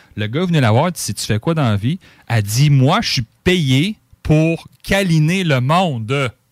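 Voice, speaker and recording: This man has a normal speaking voice, fairly high in pitch, with lively intonation at a fairly slow pace. The sound is dry and close with no echo, on a very clean recording with a silent background. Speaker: radio co-host and board operator. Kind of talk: casual chat.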